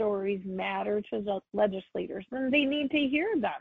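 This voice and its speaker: A woman speaks with an ordinary speaking voice at a fairly high pitch. Her pace is fairly slow. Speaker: childcare provider and advocate. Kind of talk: radio interview.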